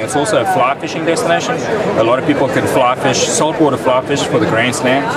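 A man talks at a fairly quick pace with ordinary pitch variation while crowd noise carries in the background. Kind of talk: interview answer. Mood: friendly, promotional. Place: hall. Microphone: phone near.

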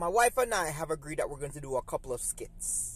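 A man's voice, dry sound with no echo. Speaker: vlogger. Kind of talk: casual vlog chat, opinion commentary. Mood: critical, somewhat frustrated. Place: car. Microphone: phone near.

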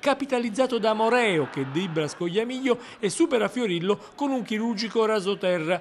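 A man with a high-pitched voice talks at a fairly quick pace with ordinary pitch variation. There is noticeable background noise. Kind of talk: sports commentary, highlights recap narration. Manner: rapid-fire, clipped play-by-play delivery with minute markers.

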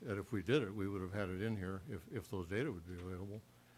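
A man talks in a plain, everyday voice at a fairly quick pace. His pitch is fairly low, with ordinary pitch variation. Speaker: school board member. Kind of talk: public meeting discussion.

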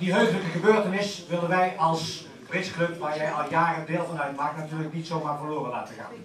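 Speech moves at a fairly quick pace with hardly any pauses, over light background noise and audible room echo. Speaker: bridge club announcer. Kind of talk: speech to a gathering. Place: hall.

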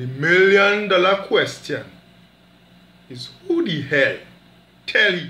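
In a Trinidadian accent, a man uses a raised, projected voice with high pitch and very wide pitch swings at a very slow pace, with audible room echo. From Caribbean. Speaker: storyteller. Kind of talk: spoken word storytelling performance. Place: home room. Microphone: phone near.

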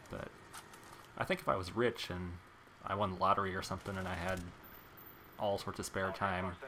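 A man talks at a fairly quick pace with a fairly low pitch. Noticeable background noise runs underneath. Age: 30s. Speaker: gaming YouTuber. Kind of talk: gameplay commentary. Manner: casual, conversational.

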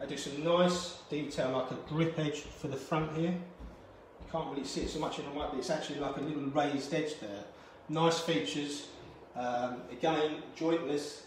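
A man talks at a moderate pace with fairly even intonation. Audible room echo and light background noise accompany him. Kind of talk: guided tour explanation. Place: shop. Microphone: phone near.

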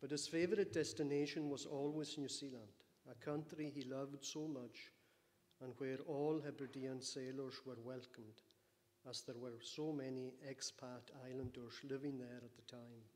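A man speaks at a moderate pace with fairly even intonation. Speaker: speaker. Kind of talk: eulogy. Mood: solemn, warm. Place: church. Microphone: podium.

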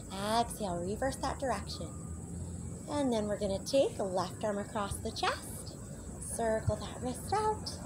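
A woman talks at a fairly slow pace amid noticeable background noise. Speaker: fitness instructor. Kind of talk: workout instruction.

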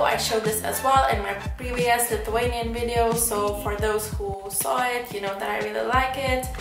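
A woman is speaking with clear music in the background. Room echo is audible. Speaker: beauty vlogger. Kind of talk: casual vlog chat. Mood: enthusiastic, chatty. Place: home room. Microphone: camera far.

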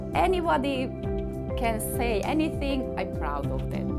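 A woman speaks at a very slow pace. Loud music plays in the background. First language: not English. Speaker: author. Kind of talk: interview answer. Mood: warm, proud. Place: home room.

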